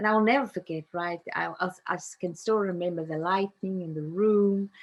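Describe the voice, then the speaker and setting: With a South African accent, a woman speaks at a medium pitch and moderate pace, her intonation fairly even. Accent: South African (Afrikaans) English. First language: Afrikaans. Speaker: narrative coach. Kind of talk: interview.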